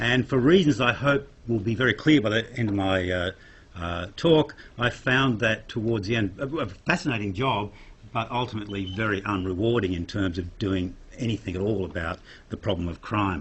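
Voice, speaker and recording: A somewhat breathy man's voice, fairly low in pitch, at a moderate pace. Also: ordinary pitch variation. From Australia. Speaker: psychologist and crime science academic. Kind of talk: lecture.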